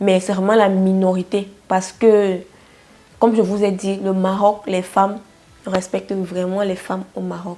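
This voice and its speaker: A woman speaks slowly, at a fairly slow pace, in a dark, mellow tone and medium pitch, her intonation monotone and flat. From Cameroon. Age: 20s. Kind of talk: casual talk to camera.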